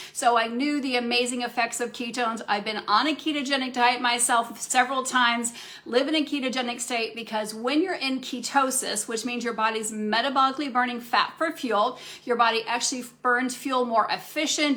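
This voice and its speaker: A woman talks at a fairly quick pace with hardly any pauses and fairly even intonation in a high voice. Noticeable background noise can be heard. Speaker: functional medicine practitioner. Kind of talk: live Q&A talk. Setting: Facebook live stream. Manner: fast.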